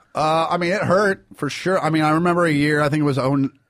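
Here is a man with an American accent and a normal speaking voice. He speaks at a fairly quick pace with a fairly high pitch and ordinary pitch variation. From Kansas City, US Midwest. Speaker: stand-up comedian. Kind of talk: casual interview.

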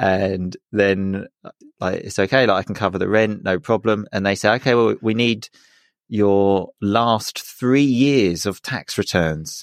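Speaking at a fairly slow pace, a man with an Essex accent has a fairly low voice. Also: ordinary pitch variation, dry, close sound with no echo. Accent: southern English (Essex). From Essex, England. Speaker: podcaster, English teacher. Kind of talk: casual chat. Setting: remote call.

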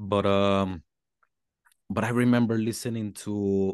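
The sound is dry and close with no echo, over a quiet background. A man speaks in a Mexican accent with ordinary pitch variation. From Mexico. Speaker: hip hop artist. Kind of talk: casual interview chat. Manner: halting, searching for words.

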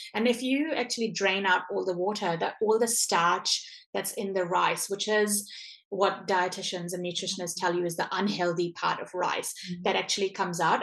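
Noticeable background noise accompanies a woman at a medium pitch. She speaks at a moderate pace with fairly even intonation. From India, moved to New Zealand at 15. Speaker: small business founder. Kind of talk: interview.

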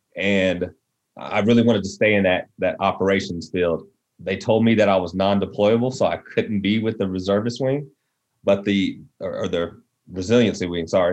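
An ordinary speaking voice from a man with an American accent, fairly low in pitch, fairly even in intonation, at a moderate pace over a quiet background. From West Texas. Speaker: Air Force veteran and nonprofit co-founder. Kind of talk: casual interview.

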